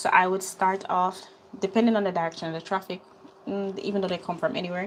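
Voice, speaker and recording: A woman with a Jamaican accent and a medium pitch. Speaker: skincare business owner and online teacher. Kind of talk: live stream tutorial. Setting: live stream. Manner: casual, chatty.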